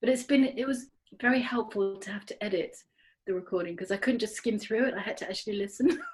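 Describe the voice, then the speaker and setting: A woman's somewhat breathy voice moves fairly quickly, its pitch varying a normal amount. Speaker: podcast co-host. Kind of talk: casual chat. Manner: fast, excited.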